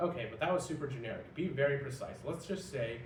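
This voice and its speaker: Fairly quick male speech amid noticeable background noise and audible room echo. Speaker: creative officer demoing AI interview. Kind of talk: mock interview. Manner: fast.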